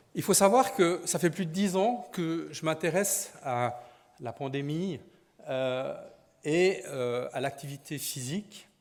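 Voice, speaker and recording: Speaking at a very slow pace, a man with a Swiss accent uses a fairly high pitch and lively intonation. The recording is very clean and the background silent. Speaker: sports physician. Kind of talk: conference talk.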